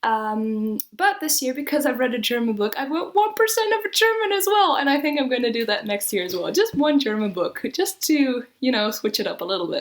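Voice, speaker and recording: With a French accent and very wide pitch swings, a woman speaks at a fairly quick pace in a high pitch. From Netherlands, French family. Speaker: booktuber. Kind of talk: casual vlog talk. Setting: home. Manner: hesitant, many fillers.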